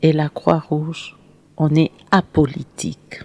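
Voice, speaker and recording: A woman's very deep, low voice. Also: dry, close sound with no echo. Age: 60s. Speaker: charity founder and humanitarian. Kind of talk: interview. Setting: studio.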